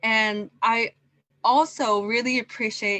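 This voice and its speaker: Against a quiet background, a woman speaks with a bright, sharp tone and fairly even intonation. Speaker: event moderator. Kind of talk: closing remarks. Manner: slow.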